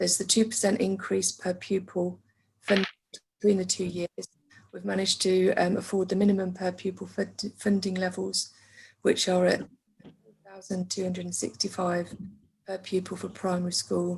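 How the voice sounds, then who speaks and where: A woman speaks at medium pitch and a moderate pace. Her voice is somewhat breathy and her intonation monotone and flat. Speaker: council finance officer. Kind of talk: meeting presentation. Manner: faint, quiet; hesitant with fillers.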